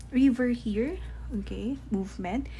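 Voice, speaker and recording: This woman talks at a very slow pace. Audible room echo surrounds her voice. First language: not English. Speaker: tarot reader. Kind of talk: tarot reading to camera.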